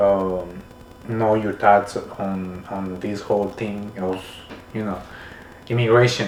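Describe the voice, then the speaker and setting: A man with a fairly low voice speaks very slowly and in a flat monotone, leaving long, frequent pauses, with audible room echo and noticeable background noise. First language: Spanish. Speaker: podcast host. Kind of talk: casual interview chat. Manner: halting, many repetitions and fillers.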